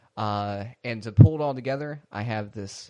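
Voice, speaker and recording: A man speaks in a normal speaking voice at a moderate pace and medium pitch. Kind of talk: casual comedic podcast banter. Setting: phone call.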